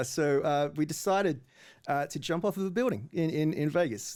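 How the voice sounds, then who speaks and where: A man with an Australian accent speaks at a moderate pace in a fairly high pitch, with ordinary pitch variation, on a very clean recording with a silent background. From Australia, Adelaide. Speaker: startup founder. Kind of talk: casual chat. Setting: radio studio.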